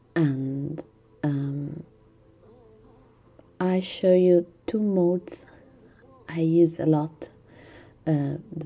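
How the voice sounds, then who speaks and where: Over music in the background, someone with an Italian accent speaks with long, frequent pauses and big swings in loudness. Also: woman. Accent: Italian accent, non-native English. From Italy. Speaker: gaming tutorial youtuber. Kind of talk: tutorial. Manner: halting, many fillers.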